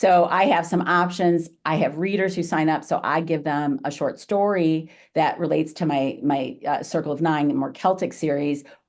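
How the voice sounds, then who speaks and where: With an ordinary speaking voice, a woman talks at a moderate pace and fairly low pitch, with ordinary pitch variation and hardly any pauses. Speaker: author giving marketing talk. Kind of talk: webinar presentation and Q&A.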